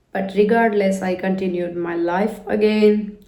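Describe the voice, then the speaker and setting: Noticeable background noise and audible room echo surround a woman's voice. She speaks fairly slowly at a medium pitch with fairly even intonation. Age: 30s. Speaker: vlogger. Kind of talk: personal reflection monologue. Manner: casual, with many fillers.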